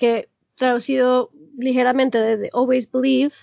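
Her voice high for a woman, she speaks in a monotone, flat intonation. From Venezuela, raised in Miami and Spain. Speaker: blogger and podcaster. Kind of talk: casual interview. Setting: video call.

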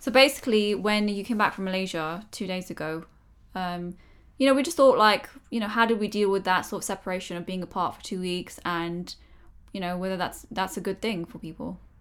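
A woman with an unremarkable speaking voice, medium pitch and ordinary pitch variation, a fairly quick pace, and big swings in loudness. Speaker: podcast and YouTube co-host. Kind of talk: casual conversational podcast.

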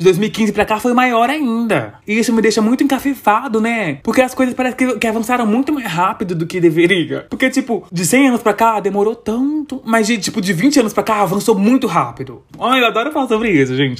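An animated man with a high pitch talks at a fairly quick pace. He leaves hardly any pauses. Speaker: podcast host. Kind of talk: casual solo monologue. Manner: animated, chatty with frequent laughs.

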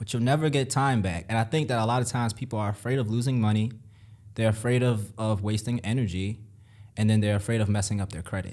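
Very fast delivery with fairly even intonation, on a very clean recording against a silent background. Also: man, fairly low pitch for a man. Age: 20s. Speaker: real estate investor. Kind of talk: casual interview.

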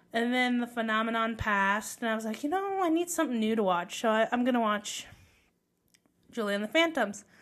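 At a fairly quick pace, a woman speaks in an animated tone with a fairly high pitch and lively intonation. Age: 20s. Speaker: podcast host. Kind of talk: casual solo commentary.

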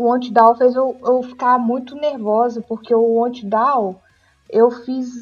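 Over music in the background, a woman with a high voice talks at a fairly slow pace with fairly even intonation. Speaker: podcast co-host. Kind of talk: casual chat.

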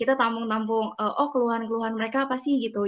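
A woman's fairly high, a plain, everyday voice, with fairly even intonation over a quiet background. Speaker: student representative. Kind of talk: casual chat. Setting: recorded at home.

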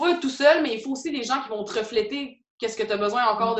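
Here a woman speaks with a fairly high pitch and lively intonation. Her pace is moderate. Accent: Quebec. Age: 20s. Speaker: artist and entrepreneur. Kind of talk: interview conversation.

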